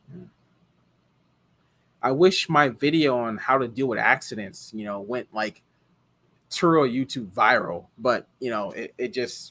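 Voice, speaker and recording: Bright and sharp in tone, a man speaks with big swings in loudness, ordinary pitch variation and long, frequent pauses on a very clean recording with a silent background. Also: medium pitch for a man, fairly slow pace. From Hawaii. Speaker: car rental host, live streamer. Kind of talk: live stream chat. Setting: live stream.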